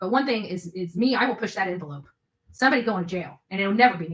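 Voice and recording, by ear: Fast and lively in intonation, a woman talks at a medium pitch with a fairly bright tone and a slightly husky edge.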